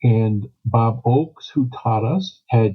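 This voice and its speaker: Fairly even in intonation, a man speaks at medium pitch in a somewhat breathy voice. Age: 80s+. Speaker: psychologist and Enneagram teacher. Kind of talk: interview. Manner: halting, repeats words.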